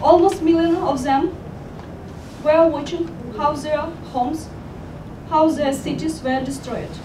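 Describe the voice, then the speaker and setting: Someone with a Ukrainian accent speaks at a fairly slow pace with fairly even intonation and long, frequent pauses, over noticeable background noise and audible room echo. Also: woman, high pitch for a woman. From Ukraine. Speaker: professor. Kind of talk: testimony. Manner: halting.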